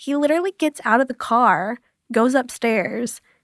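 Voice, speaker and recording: Soft-spoken and high-pitched, a woman talks at a moderate pace with lively intonation, recorded with a dry, close sound and no echo. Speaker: survivor of abuse. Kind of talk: interview.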